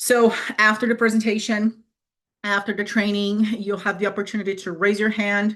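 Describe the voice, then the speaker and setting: A woman with a non-native accent, medium pitch and a fairly quick pace against a quiet background. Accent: foreign. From Brazil. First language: Portuguese. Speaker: fitness coach. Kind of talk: live webinar presentation. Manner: hesitant, many fillers; direct.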